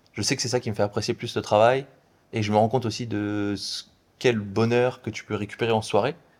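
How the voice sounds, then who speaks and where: A man at a fairly quick pace in a monotone, flat intonation, in a very clean recording with a silent background. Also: medium pitch for a man. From France. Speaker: app developer and entrepreneur. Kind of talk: casual interview.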